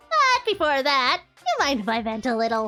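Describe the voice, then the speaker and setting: Over faint background music, a woman puts on a cartoonish character voice at a high pitch and a moderate pace. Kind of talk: cartoonish comic villain voice. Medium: virtual streamer. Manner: playful, giggly, teasing.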